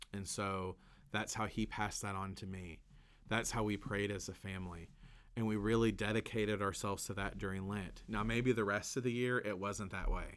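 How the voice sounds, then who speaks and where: The speaker has a Kentucky accent and a moderate pace. The intonation is monotone and flat. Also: man, fairly low pitch for a man. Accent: Southern US, Kentucky. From Kentucky, US South. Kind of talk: podcast conversation about Lent. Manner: casual, warm, laughs often.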